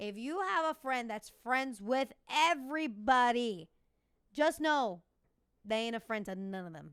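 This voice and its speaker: Animated in tone, a woman with an American accent speaks with very wide pitch swings. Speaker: podcast host and fitness instructor. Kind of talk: casual solo podcast chat. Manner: fast.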